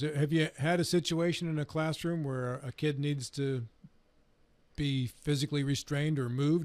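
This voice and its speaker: This is a man's voice with a fairly high pitch. His pitch varies in an ordinary way. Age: 60s. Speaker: radio talk show host. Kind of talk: casual chat. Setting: studio. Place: studio. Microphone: studio mic.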